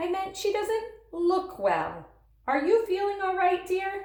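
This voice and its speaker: A woman's put-on character voice, squeaky and extremely high in pitch, fairly slow with fairly even intonation and a slight echo. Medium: read story. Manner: hearty, bossy.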